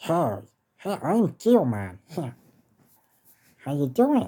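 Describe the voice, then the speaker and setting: A put-on character voice at low-to-middle pitch, very slow, with very wide pitch swings. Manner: put-on cartoon voice.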